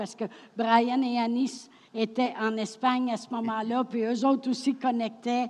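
A woman speaks at a high pitch. Her intonation is monotone and flat. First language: French. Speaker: French interpreter. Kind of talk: consecutive interpreting of a sermon.

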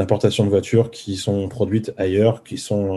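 A man's fairly low, somewhat breathy voice with a dark, mellow tone and fairly even intonation. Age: 30s. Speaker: former car salesman turned coder, YouTuber. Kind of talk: casual interview.

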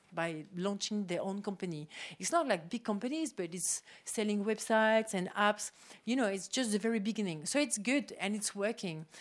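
A woman talks at a moderate pace. The background is silent and the recording very clean. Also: medium pitch for a woman, lively intonation. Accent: French. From France. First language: French. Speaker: tech incubator co-founder. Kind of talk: panel discussion.

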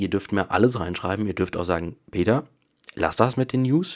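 A man speaks with a plain, everyday voice at a fairly low pitch. His intonation is lively and his pace moderate. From Bavaria, Munich area. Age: 20s. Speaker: podcaster and YouTuber. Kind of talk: casual solo podcast monologue. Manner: casual, with many fillers.

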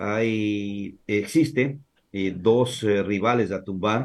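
This man speaks at a very slow pace and a medium pitch. His pitch varies in an ordinary way. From Ecuador, Santo Domingo de los Tsáchilas (born in Azuay). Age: 50s. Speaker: sports journalist. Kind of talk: casual chat.

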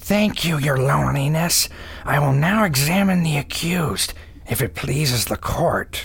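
A put-on character voice sits at a low-to-middle pitch and moves at a moderate pace. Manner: smug, prosecutorial.

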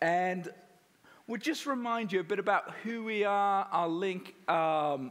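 Speaking with an English accent, a man uses an animated tone. His pitch is high, with ordinary variation. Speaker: missionary. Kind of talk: church talk. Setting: church with audience.

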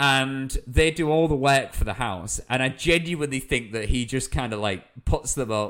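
At a moderate pace, a man speaks in a medium pitch with a fairly bright tone and ordinary pitch variation.

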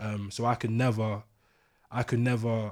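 In a London accent, a man speaks with monotone, flat intonation at a fairly low pitch, on a very clean recording with a silent background. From East London. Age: 20s. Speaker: podcast guest. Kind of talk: casual chat.

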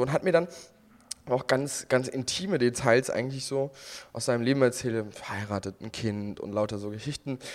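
A man speaks at a medium pitch and a moderate pace, with ordinary pitch variation. The recording is very clean and the background silent. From Germany, Westerwald. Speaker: podcast co-host. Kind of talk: casual chat.

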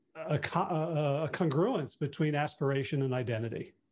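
This man has a plain, everyday voice with a fairly high pitch. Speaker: behavior change coach and podcaster. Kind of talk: podcast interview.

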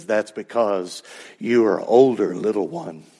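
Using a put-on character voice, a man speaks at a medium pitch. His delivery is fairly slow. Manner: calm, gentle.

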